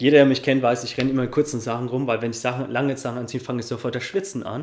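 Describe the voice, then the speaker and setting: A man at a medium pitch keeps his intonation fairly even while noticeable background noise goes on. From Upper Franconia, Germany (Coburg). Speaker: life and business coach. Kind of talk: interview.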